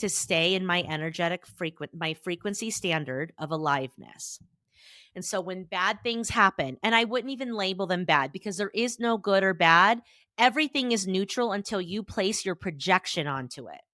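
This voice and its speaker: A loud woman's voice at medium pitch, bright and sharp in tone, with lively intonation and a moderate pace, on a very clean recording with a silent background and a dry, close sound with no echo. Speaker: therapist and podcast host. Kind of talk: motivational podcast monologue.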